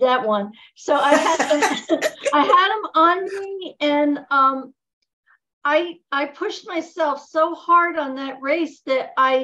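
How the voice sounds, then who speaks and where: A woman with a high, bright, sharp voice projects it loudly at a very slow pace, her pitch varying in an ordinary way. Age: 70s. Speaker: testimonial speaker on product call. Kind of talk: personal testimony. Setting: Zoom call.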